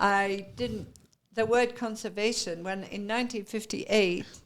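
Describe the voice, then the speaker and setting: With an English accent, a woman speaks at a fairly slow pace and a medium pitch. Her intonation is fairly even, and the recording is very clean with a silent background. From Britain. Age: 70s. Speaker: retired ornithologist and conservationist. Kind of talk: interview.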